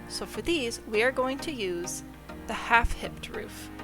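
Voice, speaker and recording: Over background music, a woman speaks at a fairly slow pace. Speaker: video game building tutorial creator. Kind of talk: game tutorial voice-over. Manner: casual, friendly.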